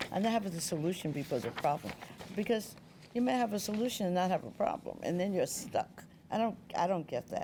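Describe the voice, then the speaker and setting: With lively intonation, a woman talks at a very fast pace. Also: medium pitch for a woman. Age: 70s. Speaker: Broadway press agent and producer. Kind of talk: interview.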